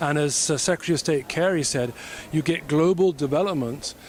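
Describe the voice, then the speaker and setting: A man with a British accent at a fairly high pitch and fairly quick pace, with ordinary pitch variation and noticeable background noise. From Britain (born in Africa, schooled in Britain). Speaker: entrepreneur, government affairs consultant. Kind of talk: interview.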